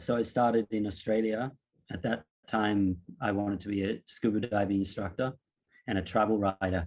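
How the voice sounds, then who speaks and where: A man at a fairly low pitch, an ordinary speaking voice, moderate pace and fairly even intonation over a quiet background. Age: 40s. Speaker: yoga teacher. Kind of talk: casual chat.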